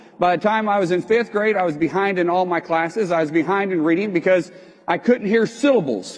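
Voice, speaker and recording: The man's voice is high in pitch with ordinary pitch variation. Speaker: business owner and speaker. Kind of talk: motivational talk. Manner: halting.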